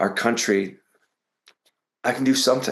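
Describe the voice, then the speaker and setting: A man talks with an American accent. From US Midwest. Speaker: nonprofit founder. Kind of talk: interview. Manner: halting, many repetitions.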